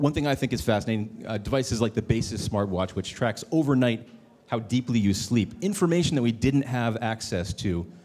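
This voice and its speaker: Very fast and dark, mellow in tone, a man's voice moves through ordinary pitch variation. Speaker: panel moderator. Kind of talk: panel discussion.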